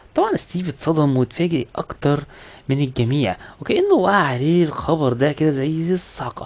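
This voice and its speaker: A man speaks with an Egyptian accent. His pitch is fairly high and his pace moderate. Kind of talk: movie recap narration. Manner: casual, conversational.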